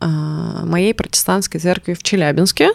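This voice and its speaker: With an unremarkable speaking voice, a woman talks at a fairly slow pace and a medium pitch with ordinary pitch variation, in a dry, close sound with no echo. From Russia, Urals (Chelyabinsk). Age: 30s. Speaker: musician. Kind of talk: casual chat.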